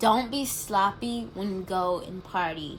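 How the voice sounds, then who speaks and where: A woman's medium-pitched voice, very slow in pace, with lively intonation. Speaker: college student vlogger. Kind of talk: casual advice vlog.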